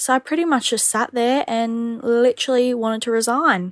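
A woman with an unremarkable speaking voice and a fairly high pitch talks at a moderate pace, the sound dry and close with no echo in a very clean recording with a silent background. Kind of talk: voice note story.

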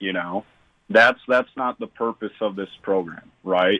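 Speaking at a fairly slow pace with an American accent, the man has fairly low pitch, ordinary pitch variation, and an unremarkable speaking voice. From Illinois. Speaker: youth basketball program founder. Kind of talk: radio interview.

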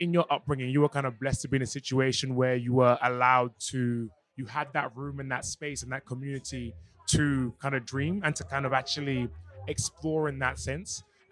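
Here a man with an unremarkable speaking voice talks at a fairly quick pace, his medium pitch following fairly even intonation. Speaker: radio host. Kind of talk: interview. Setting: backstage at music festival.

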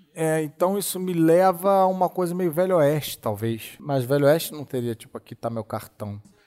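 Fairly high male voice at a moderate pace, lively in intonation, with hardly any pauses and big swings in loudness. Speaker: podcast host. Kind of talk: casual chat. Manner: animated.

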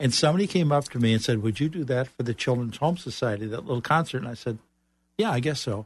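A somewhat breathy man with an American accent, talking at a very fast pace over a quiet background. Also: medium pitch for a man, lively intonation. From Chicago. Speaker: author and business coach. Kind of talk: radio interview.

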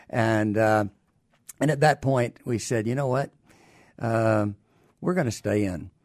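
Speaking with a Southern US accent, a man holds a medium pitch with ordinary pitch variation. His fairly slow delivery has long, frequent pauses. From US South, Alabama. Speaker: retired army doctor and care company executive. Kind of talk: interview. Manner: halting.

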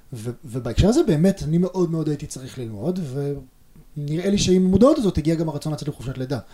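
This man's voice sits fairly high, with a dark, mellow tone, a somewhat breathy quality, lively intonation and a fairly quick pace. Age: 30s. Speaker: father and tech worker. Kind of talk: interview conversation.

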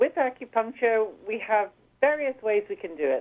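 In a Scottish accent, a woman speaks at a moderate pace. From Scotland, Edinburgh. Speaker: canine physiotherapist. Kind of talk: radio interview.

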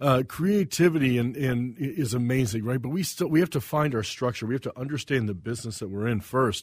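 A man's medium-pitched, somewhat breathy voice with an American accent and lively intonation, at a fairly quick pace with hardly any pauses, in a very clean recording with a silent background. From US South. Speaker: chef. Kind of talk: casual interview.

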